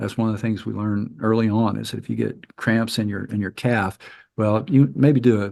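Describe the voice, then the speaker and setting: Against a quiet background, a man with an American accent speaks in a fairly low pitch with fairly even intonation. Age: 60s. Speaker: paramotor flight instructor. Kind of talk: presentation with Q&A. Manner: halting, frequent repetitions and fillers.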